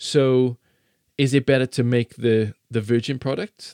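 A man's dark, mellow tone with fairly even intonation, dry and close with no echo, in a very clean recording with a silent background. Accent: South Wales. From South Wales valleys. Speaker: science presenter. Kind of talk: casual interview chat. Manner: halting, repeats words.

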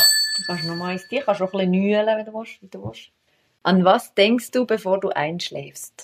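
Her loudness swinging widely, a woman speaks at a medium pitch and a moderate pace with ordinary pitch variation. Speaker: podcast host. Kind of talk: casual interview. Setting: at the guest's home.

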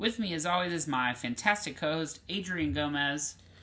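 Speech at a moderate pace in a Southern US accent. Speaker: podcast host. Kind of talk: casual chat.

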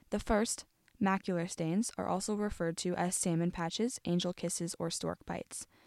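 On a very clean recording with a silent background and a dry, close sound with no echo, a woman with a plain, everyday voice speaks at a fairly quick pace, medium in pitch, with fairly even intonation. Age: young. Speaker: college radio host. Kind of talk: solo podcast monologue, partly scripted. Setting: studio.

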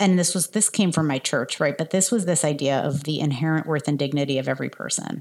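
Speaking at a fairly quick pace with ordinary pitch variation, a woman with an American accent has a very deep, low pitch, captured in a very clean recording with a silent background. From New Jersey suburbs. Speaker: health policy nonprofit leader. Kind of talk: interview.

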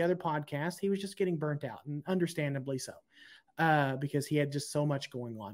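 On a very clean recording with a silent background, a man with a plain, everyday voice and an American accent talks at a fairly high pitch and a fairly quick pace with lively intonation. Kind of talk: casual chat.

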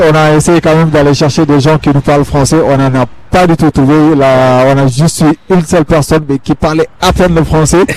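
Here a man with a normal speaking voice talks at a moderate pace with a fairly high pitch, ordinary pitch variation, and very even loudness. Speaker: field reporter. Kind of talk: live field reporting. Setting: outdoor festival.

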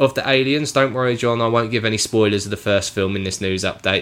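On a very clean recording with a silent background, a man with a normal speaking voice talks at a medium pitch and fairly quick pace with ordinary pitch variation. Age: 30s. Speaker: film podcast host. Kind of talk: casual chat.

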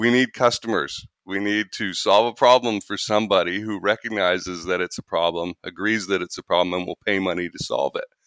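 A man with a normal speaking voice talks at a fairly low pitch and fairly quick pace with fairly even intonation and hardly any pauses, in a dry, close sound with no echo and a very clean recording with a silent background. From Canada. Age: 40s. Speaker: sales trainer and podcast host. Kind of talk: interview.

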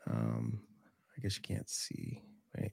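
Recorded very cleanly against a silent background, with a dry, close sound and no echo, a man speaks in a dark, mellow tone. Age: 40s. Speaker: podcast host, python breeder. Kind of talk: casual chat. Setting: livestream with chat.

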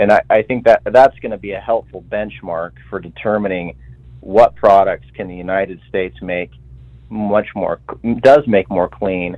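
A man's normal speaking voice, fairly low in pitch, at a moderate pace with ordinary pitch variation. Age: young. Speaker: young Republican party official. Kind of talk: radio interview.

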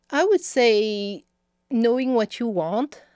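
A woman with a strong French accent speaks at a fairly slow pace in a dark, mellow tone, captured as a dry, close sound with no echo on a very clean recording with a silent background. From France (Paris). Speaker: policy campaign director. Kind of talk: interview.

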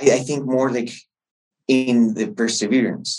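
A man talks in a Chilean accent. His pitch is medium and his pace moderate. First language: Spanish. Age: 30s. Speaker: entrepreneur and MBA student. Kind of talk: interview. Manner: halting, with frequent fillers and repetitions.

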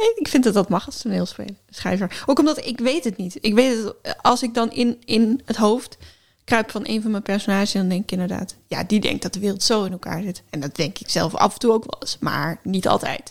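Here is a woman with an unremarkable speaking voice, fairly high in pitch. She speaks at a moderate pace with ordinary pitch variation, in a very clean recording with a silent background. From Friesland, Netherlands. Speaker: podcast co-host and writer. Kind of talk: casual chat.

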